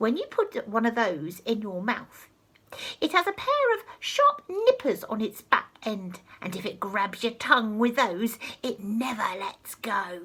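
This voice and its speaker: Whispering in a guttural, put-on character voice, a woman speaks at a fairly slow pace. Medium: read story. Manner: sinister, relishing.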